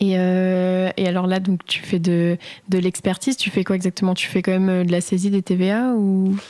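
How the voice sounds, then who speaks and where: Her dark, mellow tone comes through a very clean recording with a silent background as the woman keeps a moderate pace, a monotone, flat intonation and very even loudness. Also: medium pitch for a woman. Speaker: podcast host. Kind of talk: casual interview questions.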